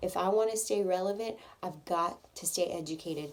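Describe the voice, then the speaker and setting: A woman with a fairly low pitch, at a moderate pace. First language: Spanish. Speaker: hair salon owner and stylist. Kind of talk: audition video monologue. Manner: casual, with frequent fillers.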